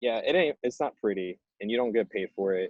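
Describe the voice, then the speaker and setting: A man is speaking. His pace is moderate. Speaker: activist. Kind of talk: panel discussion. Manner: hesitant, filler-heavy.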